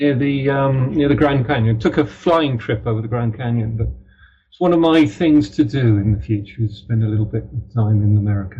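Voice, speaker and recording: The voice has a dark, mellow tone, somewhat breathy, with a British accent. It moves at a fairly quick pace with ordinary pitch variation and big swings in loudness. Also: man, medium pitch for a man. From Ireland, then mostly Britain. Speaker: crime novelist. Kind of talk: interview. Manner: halting, many fillers.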